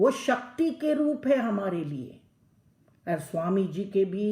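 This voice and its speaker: A woman speaks in a Telangana accent with a dark, mellow tone. Her medium-pitched voice is somewhat breathy, with very wide pitch swings. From South India, Tamil Nadu. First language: Telugu (speaking Hindi). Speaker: lecturer. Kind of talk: lecture. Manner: halting, many fillers; mixes Hindi and English.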